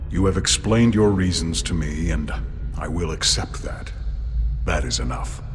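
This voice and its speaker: Over loud background noise, a man puts on a cartoonish character voice. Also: moderate pace. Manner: formal, stiff, no contractions.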